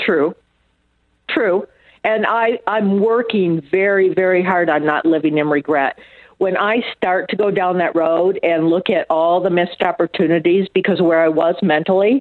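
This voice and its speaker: A woman with an American accent speaks at a moderate pace in an unremarkable speaking voice of medium pitch. Her pitch varies in an ordinary way, and her loudness stays very even. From US Northeast and Michigan. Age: 60s. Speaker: trauma survivor and author. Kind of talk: interview.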